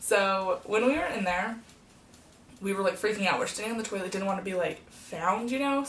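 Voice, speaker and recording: A woman's raspy, put-on character voice at a medium pitch, delivered at a fairly quick pace. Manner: fast, rushed.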